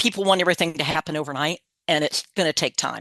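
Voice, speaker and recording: In an American accent, a woman with a very deep, low pitch and a bright, sharp tone talks very fast with ordinary pitch variation, the sound dry and close with no echo against a quiet background. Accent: slight Southern picked up over Midwestern. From Kansas, US Midwest. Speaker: state program coordinator, workshop presenter. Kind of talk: webinar presentation. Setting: online webinar. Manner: casual, conversational.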